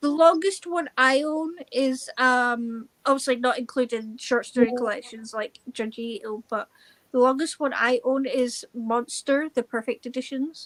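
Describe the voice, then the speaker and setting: A woman with a Scottish accent speaks at a high pitch with ordinary pitch variation and hardly any pauses, in a dry, close sound with no echo. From Scotland. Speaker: book reader joining a live stream. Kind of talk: casual chat.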